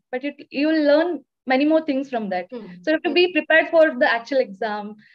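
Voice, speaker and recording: Against a quiet background, a woman speaks with a high pitch and lively intonation. She moves at a fairly quick pace. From India, Karnataka (Chikmagalur); Karnataka, India. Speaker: young doctor, exam topper; interviewee. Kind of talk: interview. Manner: hesitant, many fillers. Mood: friendly, smiling. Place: home room. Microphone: video call.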